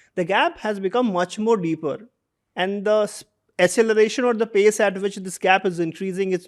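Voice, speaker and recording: A high-pitched man with an Indian accent, at a moderate pace and with fairly even intonation. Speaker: interviewer, education institute leader. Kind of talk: interview conversation.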